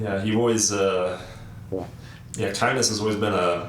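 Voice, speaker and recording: A man speaks at a very slow pace and a fairly low pitch with fairly even intonation. Noticeable background noise can be heard. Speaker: interviewer. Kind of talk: casual interview conversation.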